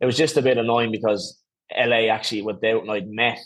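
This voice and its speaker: Over a quiet background, a man talks in an Irish accent with fairly even intonation. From Ireland, Skerries (north County Dublin). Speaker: former professional footballer. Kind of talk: podcast interview. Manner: casual, hesitant with fillers.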